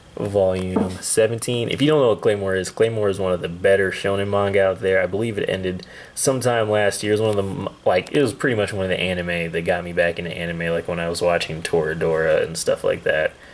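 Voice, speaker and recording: Talking very fast with hardly any pauses, a man uses a fairly low pitch and ordinary pitch variation. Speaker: YouTuber reviewing manga hauls. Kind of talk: casual vlog haul video. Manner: casual, filler-heavy.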